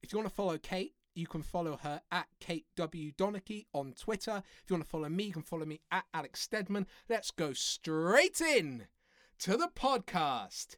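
Animated speech from a woman with an English accent, lively intonation, a dry, close sound with no echo, and a very clean recording with a silent background. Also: medium pitch for a woman, moderate pace. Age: 30s. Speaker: podcast host. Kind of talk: podcast intro. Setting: home kitchen.

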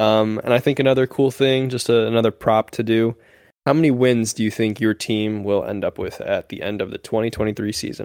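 A plain, everyday voice at a fairly quick pace, fairly even intonation, dry and close with no echo, in a very clean recording with a silent background. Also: man, medium pitch for a man. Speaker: sports podcast co-host. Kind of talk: casual chat.

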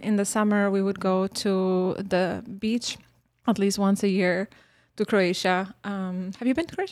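A woman speaks with a Bosnian accent at a fairly slow pace and medium pitch. The recording is very clean, with a silent background. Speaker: former refugee and university staff member. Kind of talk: interview. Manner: animated.

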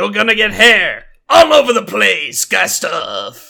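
A man uses a put-on character voice and speaks at a fairly slow pace. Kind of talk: announcer voice.

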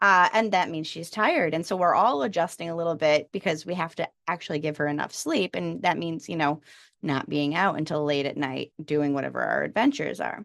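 This woman's fairly low voice shows vocal fry. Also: quiet background. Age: 30s. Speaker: special education teacher and podcast co-host. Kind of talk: casual chat.

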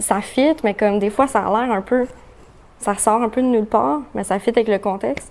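A woman talks at a fairly quick pace in a fairly high voice, with noticeable background noise behind her. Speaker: pop rock musician. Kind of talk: casual chat.

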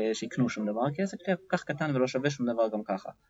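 A man with an ordinary speaking voice talks fairly quickly at a medium pitch, his intonation lively. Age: 40s. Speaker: entrepreneur and business development CEO. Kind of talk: interview. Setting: studio.

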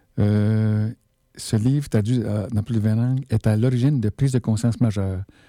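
With a Quebec accent, a man talks at a fairly slow pace in a fairly low pitch, his tone dark and mellow and his intonation fairly even, on a very clean recording with a silent background and a dry, close sound free of echo. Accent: Québécois French. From Quebec, Abitibi. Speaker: radio host. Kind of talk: solo radio talk. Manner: halting.

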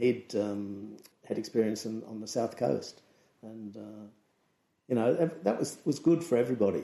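A man with an Australian accent, medium pitch, ordinary pitch variation, a dark, mellow tone, big swings in loudness and a moderate pace. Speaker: surf photographer and magazine editor. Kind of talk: casual interview chat.

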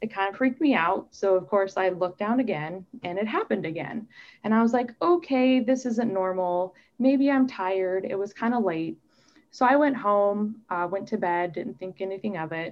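A woman with an American accent and a normal speaking voice talks at a moderate pace with lively intonation. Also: medium pitch for a woman. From US Midwest (Omaha, Nebraska). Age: 30s. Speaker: doctoral student living with MS. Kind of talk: interview testimony.

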